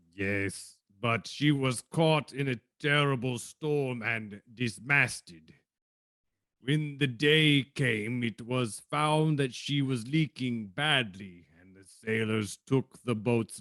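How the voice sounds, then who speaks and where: Speaking very slowly, a man puts on a character voice. His pitch is medium. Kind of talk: 1940s radio acting. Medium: stage play. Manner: halting, hesitant, formal.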